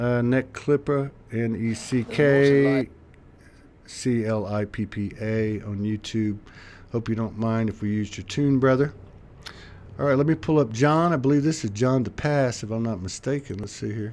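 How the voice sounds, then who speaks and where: A man speaks in a normal speaking voice at a moderate pace, with an American accent and a medium pitch. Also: ordinary pitch variation. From South Texas. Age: 60s. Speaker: livestream show host. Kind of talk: casual chat.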